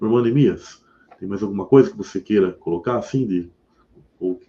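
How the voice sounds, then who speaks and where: Fairly low in pitch and dark, mellow in tone, a man talks at a fairly quick pace. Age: 40s. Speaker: religious YouTuber. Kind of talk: religious discussion livestream. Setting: live stream.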